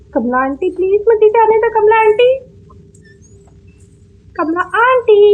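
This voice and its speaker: A woman at an extremely high pitch, with long, frequent pauses and noticeable background noise. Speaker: gaming YouTuber. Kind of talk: horror game voice commentary.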